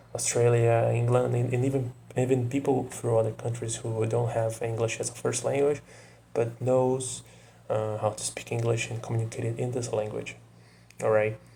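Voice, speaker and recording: A somewhat breathy, dark and mellow man's voice at medium pitch with a Portuguese accent, monotone and flat at a moderate pace. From Brazil. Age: 20s. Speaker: vlogger. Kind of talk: casual monologue to camera. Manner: hesitant, many fillers.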